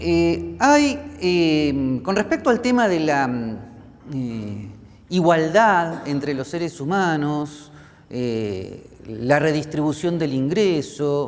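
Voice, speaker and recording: With a fairly high pitch, a man speaks very slowly, using lively intonation and long, frequent pauses, and audible room echo surrounds his voice. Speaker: professor. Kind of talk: lecture. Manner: many fillers (este, eh).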